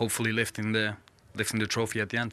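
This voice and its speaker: There is noticeable background noise on this clip. Through it, a man talks at a fairly low pitch. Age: 30s. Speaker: professional goalkeeper. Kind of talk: post-match interview. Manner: halting.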